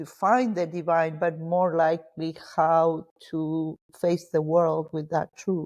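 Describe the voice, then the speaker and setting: Against a quiet background, a woman speaks very slowly in a fairly low, flat monotone. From Argentina, Cordoba province. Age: 60s. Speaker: spiritual mentor. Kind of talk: interview.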